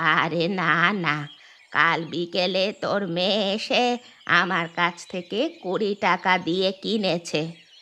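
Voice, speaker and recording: A woman uses a cartoonish character voice at medium pitch and a fairly slow pace. Her intonation is fairly even, and the background is quiet. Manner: suspicious, blunt.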